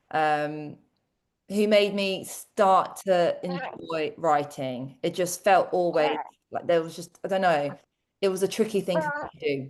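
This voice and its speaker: A woman speaks very slowly with a London accent. Her pitch is fairly low, with ordinary variation. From London, England (born in Croatia). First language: Croatian. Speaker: teacher and tutoring business owner. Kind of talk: interview.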